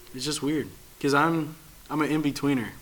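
A man speaks at a moderate pace with a fairly high pitch. The room echo is audible. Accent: American. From Chicago area, US Midwest. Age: 20s. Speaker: podcast host. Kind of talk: casual chat.

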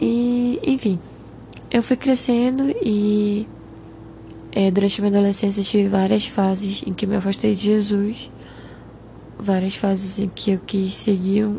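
A woman's somewhat breathy voice at medium pitch, fairly slow and fairly even in intonation. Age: 20s. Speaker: podcast host. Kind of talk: personal testimony monologue.

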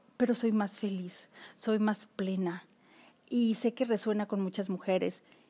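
On a very clean recording with a silent background, a woman speaks at a fairly high pitch in a dark, mellow tone. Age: 40s. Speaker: podcast host. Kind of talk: solo podcast monologue.

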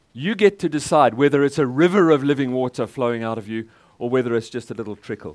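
A man talks at a very fast pace with lively intonation and medium pitch. The recording is very clean, with a silent background. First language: English (speaking German). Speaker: guest preacher. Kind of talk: sermon with live interpretation.

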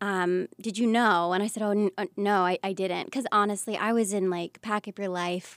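On a very clean recording with a silent background and a dry, close sound with no echo, a woman speaks at medium pitch and a moderate pace with hardly any pauses. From US South, Pensacola, Florida. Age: 30s. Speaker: Broadway actor. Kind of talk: casual chat. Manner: animated.

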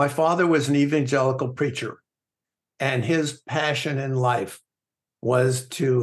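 Against a quiet background, the voice is somewhat breathy. The pace is fairly slow. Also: man. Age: 70s. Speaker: author and coach, former trader. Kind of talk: interview. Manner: excitable.

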